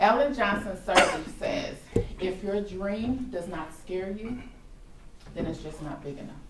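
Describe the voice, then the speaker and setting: In an American accent, the speaker talks at a fairly slow pace with lively intonation, big swings in loudness and long, frequent pauses, against noticeable background noise. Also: woman, medium pitch for a woman. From Chicago. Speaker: storyteller. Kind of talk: live personal storytelling performance. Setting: stage before live audience.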